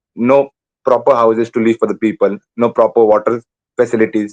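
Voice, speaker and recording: Someone with an Indian accent speaks at a fairly quick pace in a monotone, flat intonation. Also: man. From India, Konkan coast (Malvan, Maharashtra). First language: Malvani. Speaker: exam candidate, call centre worker. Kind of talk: mock speaking exam interview. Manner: hesitant, with fillers.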